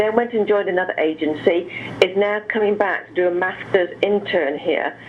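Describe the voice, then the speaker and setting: Over noticeable background noise, a woman with an English accent speaks at a moderate pace, medium pitch and fairly even intonation. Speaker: director of a treatment center. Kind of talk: interview.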